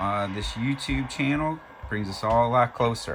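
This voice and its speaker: A man talks at a moderate speed while background noise is clearly audible. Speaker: model railroad hobbyist YouTuber. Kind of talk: casual product review. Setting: home train room. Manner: occasional stumbling over words.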